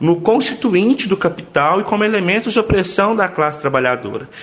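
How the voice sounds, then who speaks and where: A man's lively, up-and-down delivery at a moderate pace, with noticeable background noise. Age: 30s. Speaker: union communications coordinator and lab technician. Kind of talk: radio interview.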